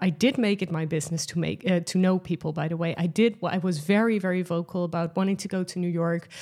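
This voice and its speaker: A dark, mellow voice with a Dutch accent, very fast with hardly any pauses, fairly even in intonation, in a very clean recording against a silent background. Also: woman, fairly low pitch for a woman. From Netherlands. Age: 30s. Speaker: podcast host. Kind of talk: solo podcast monologue. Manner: casual, frequent laughs and fillers.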